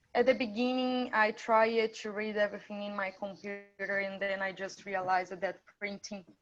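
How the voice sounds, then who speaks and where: A woman at a medium pitch and moderate pace, with music in the background. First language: not English. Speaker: international student. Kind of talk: testimony.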